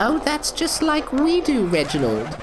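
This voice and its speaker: A put-on character voice that sounds female moves at a moderate pace against loud background noise. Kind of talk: comic overacting. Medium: audio drama. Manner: prim, teasing, chatty.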